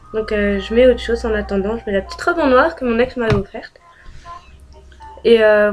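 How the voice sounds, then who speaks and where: A woman's fairly high voice with ordinary pitch variation at a fairly quick pace, amid noticeable background noise. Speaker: beauty and lifestyle youtuber. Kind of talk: casual vlog talk. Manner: hesitant, many fillers.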